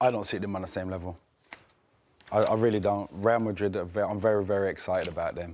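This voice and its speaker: With a strong Birmingham accent, a man with a fairly low pitch speaks at a very fast pace. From Birmingham, England. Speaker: football pundit. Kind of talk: casual chat. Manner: animated.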